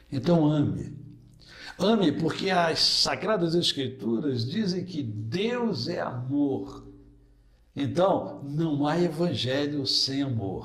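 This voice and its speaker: Audible room echo follows a man talking at a very slow pace. His fairly high voice has lively intonation. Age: 60s. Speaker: pastor. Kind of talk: interview.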